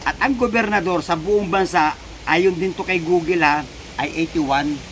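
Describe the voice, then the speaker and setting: Against noticeable background noise, a man with a high pitch speaks with ordinary pitch variation. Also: moderate pace. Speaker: vlogger. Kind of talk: political commentary vlog. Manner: animated.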